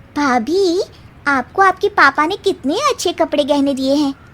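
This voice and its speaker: A woman uses a put-on character voice pitched high. She delivers it at a fairly slow pace. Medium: audio drama.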